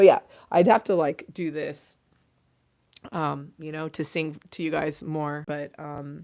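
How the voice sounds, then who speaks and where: A woman with an American accent speaks loudly in a very deep, low voice, at a fairly slow pace with long, frequent pauses. The recording is very clean with a silent background. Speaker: livestream host. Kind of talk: casual livestream chat. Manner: animated.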